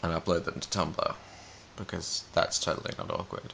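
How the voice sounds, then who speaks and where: A man talks with an Australian accent. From Australia, Albury, New South Wales. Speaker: vlogger. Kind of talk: casual chat; word list reading.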